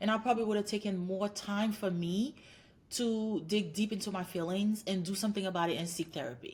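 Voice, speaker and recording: Somewhat breathy in tone, a woman's voice moves along at a fairly quick pace. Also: medium pitch for a woman, ordinary pitch variation. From Haiti. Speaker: clinical psychologist. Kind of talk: interview.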